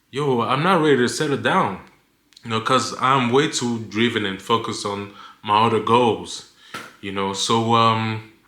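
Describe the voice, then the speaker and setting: In a room with audible echo, a man at a medium pitch talks at a moderate pace with ordinary pitch variation and a bright, sharp tone. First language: not English. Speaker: lifestyle vlogger. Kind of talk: casual vlog monologue. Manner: stutters; halting, many fillers.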